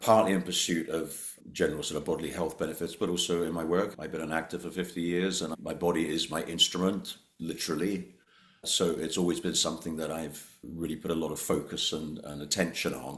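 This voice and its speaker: A man with a very deep, low pitch speaks at a fairly quick pace with fairly even intonation. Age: 70s. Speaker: actor. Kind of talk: interview.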